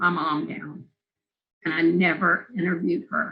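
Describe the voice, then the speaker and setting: A woman talks at a fairly slow pace in an American accent. Her tone is bright and sharp. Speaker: film interviewer and documentary maker. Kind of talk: oral history interview.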